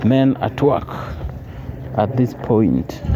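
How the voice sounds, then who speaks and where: Noticeable background noise sits behind a man speaking with a Kenyan accent. He uses a medium pitch with very wide pitch swings. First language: Swahili or other Kenyan language. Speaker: travel vlogger. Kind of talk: walking vlog commentary. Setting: outdoors.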